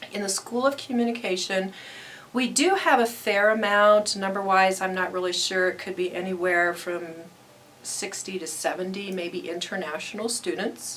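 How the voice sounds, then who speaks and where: A woman with a medium pitch and ordinary pitch variation talks while noticeable background noise carries on behind her. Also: moderate pace. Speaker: academic advisor. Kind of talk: interview.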